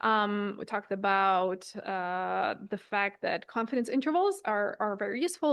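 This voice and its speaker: The background is quiet as a woman speaks at medium pitch. Her intonation is lively. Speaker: lecturer. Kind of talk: lecture. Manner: fast.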